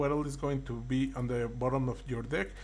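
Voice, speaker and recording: There is audible room echo as a man speaks with a non-native accent. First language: not English. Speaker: card game content creator. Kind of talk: tutorial. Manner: halting.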